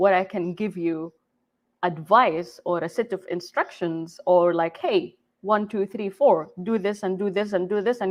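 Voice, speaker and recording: A woman with an Arabic accent, at a fairly slow pace. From Saudi Arabia, Jeddah. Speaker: game developer. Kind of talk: conference talk. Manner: halting.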